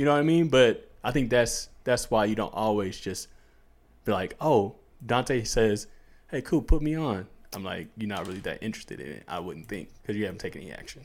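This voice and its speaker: Speaking at a fairly quick pace in an American accent, a man with an ordinary speaking voice and medium pitch uses lively intonation and big swings in loudness. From US suburbs. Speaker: podcast co-host. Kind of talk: casual chat.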